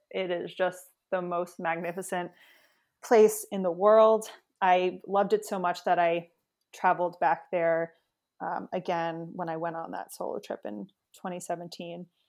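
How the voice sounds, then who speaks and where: Very clean recording, silent background, and an ordinary speaking voice with an American accent. The pace is fairly slow, the intonation fairly even, with big swings in loudness. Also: woman, fairly low pitch for a woman. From New York City area, US. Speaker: travel blogger. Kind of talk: interview.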